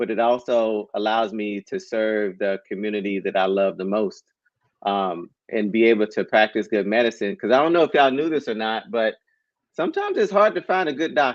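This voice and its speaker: In an American accent, a man talks at a fairly quick pace and medium pitch in a plain, everyday voice. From Texarkana, Texas. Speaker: cardiologist. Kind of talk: interview on a live-streamed podcast.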